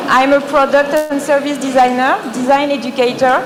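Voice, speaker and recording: A woman with a French accent, high in pitch, at a moderate pace, with audible room echo and noticeable background noise. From France. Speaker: design educator. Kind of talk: presentation. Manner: halting.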